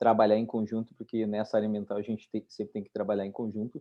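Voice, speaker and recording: This man has a dark, mellow tone and a medium pitch. He speaks with a southern Brazilian accent. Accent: gaúcho. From southern Brazil (Rio Grande do Sul). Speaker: environmental lawyer. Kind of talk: online webinar discussion.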